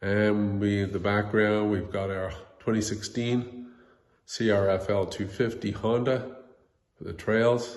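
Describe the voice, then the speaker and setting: Talking at a fairly slow pace, a man keeps his fairly low voice in a fairly even intonation. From Atlantic Canada. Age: 60s. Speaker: motorcycle vlogger. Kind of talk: casual talk to camera.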